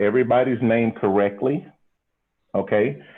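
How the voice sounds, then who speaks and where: A man talks with a Southern US accent. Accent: Southern American. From US South. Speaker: comedian. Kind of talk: comedic emcee.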